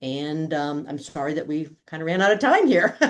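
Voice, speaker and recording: A woman speaks in a very deep, low voice. The background is quiet. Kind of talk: webinar presentation. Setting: online webinar. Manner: fast.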